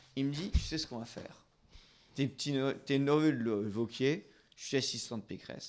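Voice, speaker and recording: Speaking at a moderate pace, a man with a medium pitch sounds animated. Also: very clean recording, silent background. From northern France. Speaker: talk show host. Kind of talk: casual chat.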